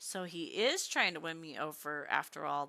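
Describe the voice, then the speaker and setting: A woman puts on a character voice that is croaky and very deep and low in pitch. She speaks at a moderate pace. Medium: read story. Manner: menacing, sneering.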